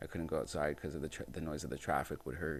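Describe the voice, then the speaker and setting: A man speaks with vocal fry and fairly even intonation. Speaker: podcast host and musician. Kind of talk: casual monologue. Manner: naturally loud.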